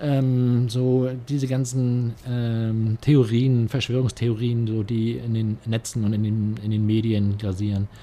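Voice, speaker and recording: A man speaks at a medium pitch in a dark, mellow tone, very slowly and with hardly any pauses. His intonation stays monotone and flat. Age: 60s. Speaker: police officer and local politician. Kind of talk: interview. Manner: hesitant, many filler sounds.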